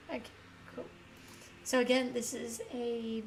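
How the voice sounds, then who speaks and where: A woman in an Australian accent speaks at a fairly slow pace with a fairly high pitch, with audible room echo and noticeable background noise. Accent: Australian, nasal. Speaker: gaming streamer. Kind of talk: live stream commentary. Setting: live stream. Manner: casual, chatty.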